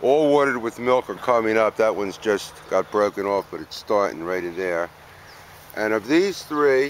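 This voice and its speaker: Lively intonation marks a man's speech over light background noise. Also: moderate pace, dry sound with no echo. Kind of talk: casual garden tour commentary. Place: garden. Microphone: camera far.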